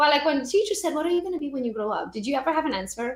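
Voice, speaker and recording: An animated tone in a Romanian accent, with very wide pitch swings. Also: woman. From Romania (Transylvania). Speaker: real estate agent and social media trainer. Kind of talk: podcast interview.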